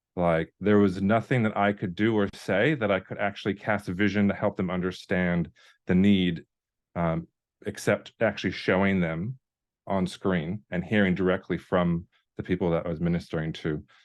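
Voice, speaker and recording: Against a quiet background, a man with a North Dakota accent speaks at a moderate pace in a very deep, low voice with fairly even intonation. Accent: American, North Dakota. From US Upper Midwest, North Dakota. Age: 30s. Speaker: video content creator and ministry worker. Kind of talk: online workshop presentation. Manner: halting, many fillers.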